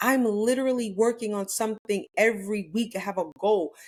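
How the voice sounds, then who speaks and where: A woman speaks in a plain, everyday voice at a medium pitch and a moderate pace, with ordinary pitch variation. The recording is very clean, with a silent background. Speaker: real estate coach. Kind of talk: motivational talk.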